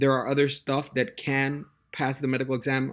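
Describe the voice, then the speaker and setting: Speaking at a moderate pace with a Spanish accent, a man uses a medium pitch on a very clean recording with a silent background. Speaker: test prep tutor. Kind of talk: casual monologue. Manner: halting, many fillers and repetitions.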